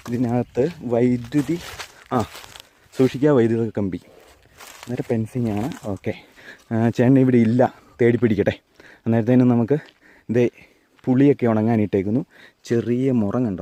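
Heard in a dry, close sound with no echo, a man at medium pitch has a dark, mellow tone and fairly even intonation. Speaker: travel vlogger. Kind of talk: vlog narration and interview.

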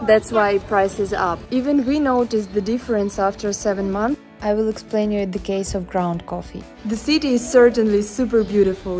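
A woman with a non-native accent speaks at a moderate pace in a fairly high pitch. Her pitch varies in an ordinary way, with faint music in the background. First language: Russian. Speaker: vlogger. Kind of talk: casual talk to camera. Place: street. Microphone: earbuds.

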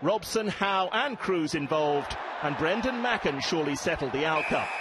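A man at a fairly quick pace, ordinary pitch variation, noticeable background noise around him. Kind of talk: sports commentary voiceover. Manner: brisk, polished, authoritative; measured, formal, narrating highlights.

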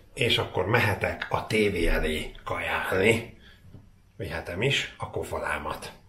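Very slow speech from a man, with audible room echo and light background noise. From Slovakia, Komárno (Hungarian minority); Slovakia. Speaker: food and unboxing vlogger; unboxing vlogger. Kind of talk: casual vlog. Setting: home kitchen. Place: kitchen.

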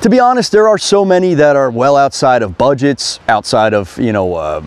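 Very wide pitch swings run through a man's speech at a moderate pace. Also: dry sound with no echo. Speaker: motorcycle reviewer. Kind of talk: review to camera. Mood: enthusiastic, warm. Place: forest.

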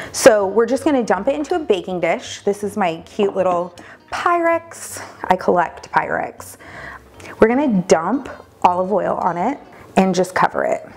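Her delivery moves at a moderate pace. Soft music can be heard faintly behind her. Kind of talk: cooking tutorial. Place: kitchen. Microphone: lapel.

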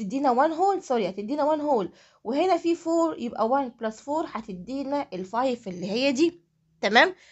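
With an Egyptian accent, a woman speaks at a moderate pace in a high voice that makes very wide pitch swings. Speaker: math teacher. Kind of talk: tutorial.

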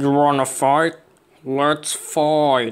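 A man speaks with a fairly high pitch. His intonation stays monotone and flat. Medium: comedy sketch. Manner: flatly menacing, deadpan.

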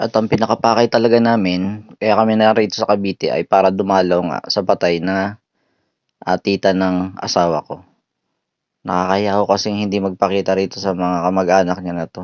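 Speaking at a fairly quick pace, a man with a very deep, low pitch keeps a monotone, flat intonation. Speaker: travel vlogger. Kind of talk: vlog narration. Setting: on public transport.

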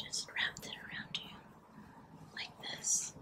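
A woman whispering in a gentle tone. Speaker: ASMR creator. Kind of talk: soft-spoken ASMR role play. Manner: soft-spoken, gentle ASMR voice. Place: home room. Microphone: phone near.

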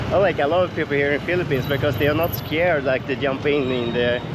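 Loud background noise surrounds a fairly quick voice recorded with a dry sound and no echo. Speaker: travel vlogger. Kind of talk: casual vlog chat. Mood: upbeat, excited. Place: street. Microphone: phone near.

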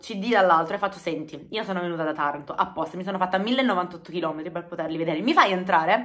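A woman speaks at a fairly quick pace with ordinary pitch variation. Her tone is bright and sharp against a quiet background. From Apulia, southern Italy. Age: 30s. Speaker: YouTuber. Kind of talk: casual storytelling vlog. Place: home room. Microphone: phone near.

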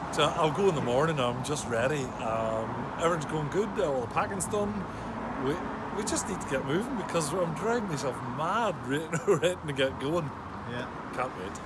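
Loud background noise surrounds a man who speaks at a moderate pace. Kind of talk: interview answer. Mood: excited, joking. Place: street. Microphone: phone near.

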